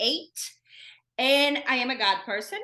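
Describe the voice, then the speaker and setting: A woman with a Brazilian accent uses a raised, projected voice that is bright, sharp and high in pitch. She speaks at a fairly slow pace with lively intonation. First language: Portuguese. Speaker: self-care podcast host. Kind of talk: casual solo podcast talk. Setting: recording at home.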